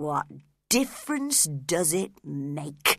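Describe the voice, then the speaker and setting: A put-on character voice growls at a middle pitch. The recording is very clean and the background silent. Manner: growling.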